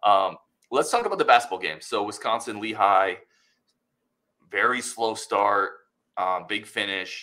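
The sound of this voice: A man talks at a fairly slow pace with long, frequent pauses, his fairly low, gravelly voice carrying a bright, sharp tone and lively intonation.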